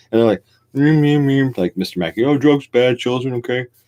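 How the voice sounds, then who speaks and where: A man with an American accent talks at medium pitch and a moderate pace. The sound is dry and close, with no echo. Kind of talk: casual late-night live stream talk. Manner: rambling, profane.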